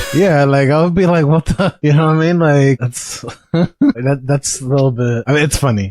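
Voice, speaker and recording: Recorded with a dry, close sound and no echo, a man speaks in an ordinary speaking voice at a moderate pace, with a fairly high pitch, ordinary pitch variation and very even loudness. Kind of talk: casual reaction commentary.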